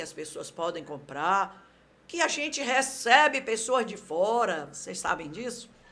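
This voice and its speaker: At a fairly slow pace, a woman speaks at a medium pitch in an animated, bright, sharp tone with very wide pitch swings. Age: 70s. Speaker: local politician, council candidate. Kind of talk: podcast interview. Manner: talkative, animated.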